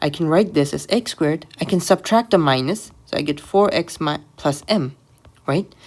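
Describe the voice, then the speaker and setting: Pitched fairly low, a woman speaks with ordinary pitch variation. Her pace is moderate. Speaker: maths tutor. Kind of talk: tutorial. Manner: halting.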